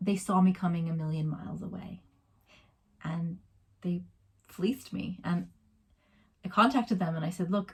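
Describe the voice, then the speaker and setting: This woman speaks with an American accent and a medium pitch. Her voice is somewhat breathy at a moderate pace. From USA. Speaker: vlogger. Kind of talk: casual vlog.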